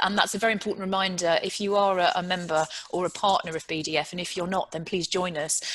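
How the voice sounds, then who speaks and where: With a British accent, a woman at medium pitch talks very fast with fairly even intonation and hardly any pauses. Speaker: panel moderator, chief executive; panel moderator. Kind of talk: panel discussion moderation. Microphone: video call.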